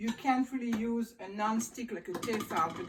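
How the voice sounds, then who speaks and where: A woman with a French accent speaks at a fairly high pitch, moderate pace and fairly even intonation. Noticeable background noise runs underneath. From France, Île de Ré. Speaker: former restaurant owner. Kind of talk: cooking tutorial. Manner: casual, with hesitations.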